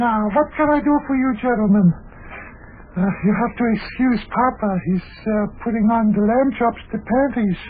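Over light background noise, a woman does a put-on character voice, hoarse and fairly high-pitched, at a moderate pace.

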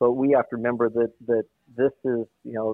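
His voice sits at a medium pitch, and he talks at a moderate speed. A man, he keeps his intonation monotone and flat. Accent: American. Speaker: former baseball general manager. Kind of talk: casual interview. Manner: halting, repeats words.

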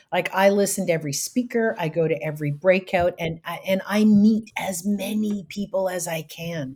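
In a Canadian accent, the speaker sounds somewhat breathy, keeping a moderate pace and ordinary pitch variation. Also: woman, medium pitch for a woman. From Canada, rural area outside Ottawa. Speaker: professional speaker and trainer. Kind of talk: interview.

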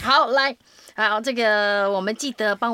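Bright and sharp in tone, a woman speaks with animation at a moderate pace and fairly high pitch, with ordinary pitch variation, in a dry, close sound with no echo and a very clean recording with a silent background. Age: middle-aged. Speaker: voice actor and podcast host. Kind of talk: casual chat. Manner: animated.

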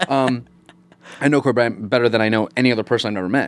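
With an American accent, a man talks at a very fast pace in a medium pitch with ordinary pitch variation. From upstate New York. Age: 30s. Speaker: actor. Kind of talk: casual chat. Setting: studio. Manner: animated.

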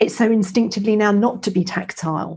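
A woman speaks fairly quickly in a fairly high pitch, her voice somewhat breathy. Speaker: podcast host, menopause educator. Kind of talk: casual interview.

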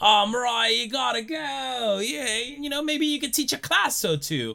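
In a put-on character voice with an Australian accent, the speaker talks at a fairly slow pace with a bright, sharp tone, vocal fry and lively intonation.

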